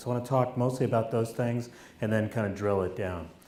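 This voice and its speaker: The speaker is a man at medium pitch. Audible room echo is present. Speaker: professor. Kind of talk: keynote speech. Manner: halting with fillers.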